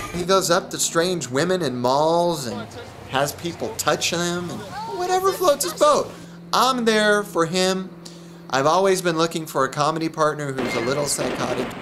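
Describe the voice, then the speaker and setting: A high-pitched man at a moderate pace with lively intonation, amid noticeable background noise. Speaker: comedian. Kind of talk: comedy audition interview.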